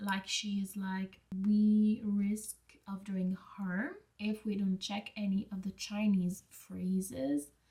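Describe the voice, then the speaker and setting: Somewhat breathy and at a very slow pace, a woman with a non-native accent speaks at a medium pitch with fairly even intonation. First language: not English. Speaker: book vlogger. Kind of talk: casual vlog monologue. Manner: casual, hesitant at times.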